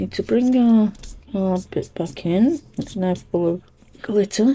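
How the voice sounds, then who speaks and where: A quiet woman's voice at medium pitch, somewhat breathy and dark and mellow in tone, with lively intonation and a very slow pace. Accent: British. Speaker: cardmaking crafter. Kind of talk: tutorial. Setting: home craft room. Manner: quiet, hushed.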